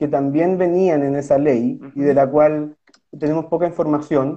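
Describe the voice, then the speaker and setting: Speaking at a moderate pace, a man talks in a Chilean accent. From southern Chile, Osorno. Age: 30s. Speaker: lawyer and political candidate. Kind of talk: interview. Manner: halting.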